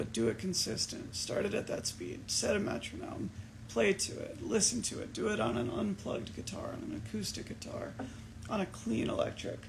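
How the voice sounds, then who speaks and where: A man speaks at a moderate pace with an American accent, over noticeable background noise. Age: 30s. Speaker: musician. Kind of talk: casual livestream Q&A. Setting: Instagram livestream.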